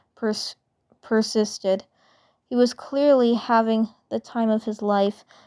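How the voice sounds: Intonation in this natural reading voice stays fairly even. Behind it, the background is quiet.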